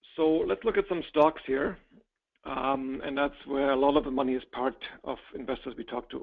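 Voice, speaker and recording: A man speaks at a moderate pace with a non-native accent. His voice sits fairly high, with ordinary pitch variation. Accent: noticeable non-native. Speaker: real estate investment presenter. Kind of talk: webinar presentation. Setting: online webinar.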